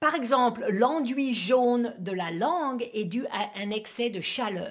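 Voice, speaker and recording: A woman's voice rises and falls in lively intonation. Her pitch is high. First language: English (speaking French). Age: 50s. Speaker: acupuncturist and teacher. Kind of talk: tutorial. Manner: halting, non-native French.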